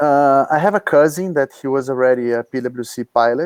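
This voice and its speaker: A speaker with a Portuguese accent talks at a fairly quick pace, and the sound is dry and close with no echo. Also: man. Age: 30s. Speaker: paragliding pilot. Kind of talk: interview. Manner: halting.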